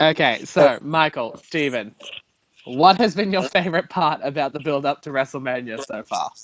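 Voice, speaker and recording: Speaking with an Australian accent, a man uses a fairly high pitch and ordinary pitch variation. His pace is moderate, with big swings in loudness. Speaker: podcast host. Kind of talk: casual chat. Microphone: audio delay and echo.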